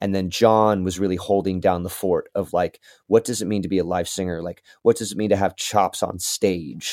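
A man with a West Coast accent and very deep, low pitch, at a moderate pace with hardly any pauses and fairly even intonation, in a dry, close sound with no echo. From Southern Oregon. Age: 30s. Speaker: singer-songwriter. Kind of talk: casual interview.

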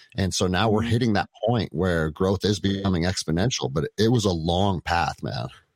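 The voice has vocal fry and ordinary pitch variation, moving at a fairly quick pace with hardly any pauses. The recording is very clean, dry and close, with a silent background and no echo. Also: man, very deep, low pitch for a man. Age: 40s. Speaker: jiu jitsu gym owner and former police officer. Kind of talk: casual chat.

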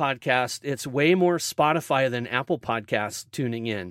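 A man's bright, sharp voice with lively intonation at a very slow pace. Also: very clean recording, silent background. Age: 50s. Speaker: podcast host and DJ. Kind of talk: casual chat. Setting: walk-in closet.

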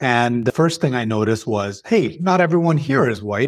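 Speaking at a moderate pace and medium pitch, a man has a Canadian accent and an ordinary speaking voice. The recording is very clean, with a silent background. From Saudi Arabia, moved young to Toronto area. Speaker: healthcare consultant and professor. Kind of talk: interview. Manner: articulate.

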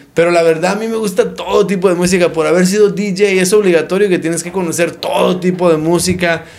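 A man's high-pitched, monotone, flat voice at a fairly quick pace, with noticeable background noise and audible room echo. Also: hardly any pauses. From Arizona, Phoenix. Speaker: doctor and local business owner. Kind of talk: casual interview.

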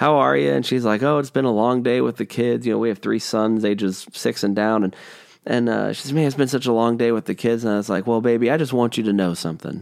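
Against a quiet background, a man talks at a very fast pace. His medium-pitched voice has lively intonation. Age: 30s. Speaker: pastor. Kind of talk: solo podcast teaching. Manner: casual with frequent fillers.

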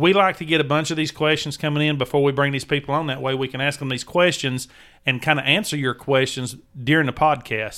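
Speaking very fast, this man has a Southern US accent. His pitch is fairly high and his intonation fairly even. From Tennessee, US South. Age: 40s. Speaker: outdoor podcast host. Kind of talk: casual chat.

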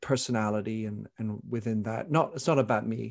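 Against a quiet background, a man with a normal speaking voice talks at medium pitch with ordinary pitch variation. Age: 50s. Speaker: author and podcaster. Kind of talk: interview conversation.

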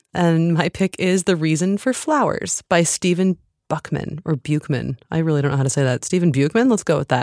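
A woman with a normal speaking voice and a fairly low pitch talks fairly quickly with hardly any pauses, her intonation lively, her loudness very even and the sound dry and close with no echo. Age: 30s. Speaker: podcast host. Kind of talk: interview.

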